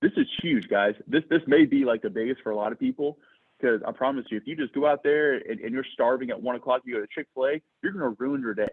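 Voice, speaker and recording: A man's animated voice with ordinary pitch variation. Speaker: insurance sales agency leader. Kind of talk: sales training talk. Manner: naturally fast talker.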